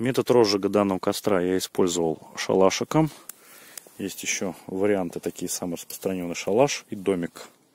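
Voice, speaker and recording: The recording sounds dry and close, with no echo. A man with a very deep, low pitch speaks at a moderate pace with ordinary pitch variation. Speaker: village vlogger. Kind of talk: casual outdoor vlog. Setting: outdoors by a river at night. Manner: quiet at night.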